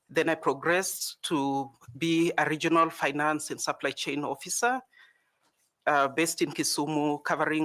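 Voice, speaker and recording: Bright and sharp in tone, a man with a fairly high pitch speaks at a fairly slow pace with ordinary pitch variation. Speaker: job applicant, accountant. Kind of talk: job interview. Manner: formal.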